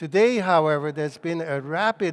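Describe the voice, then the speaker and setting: With a Hungarian accent, a man talks at a fairly high pitch with ordinary pitch variation. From Hungary. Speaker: cultural consultant and author. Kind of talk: lecture. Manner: hesitant, many fillers and repetitions.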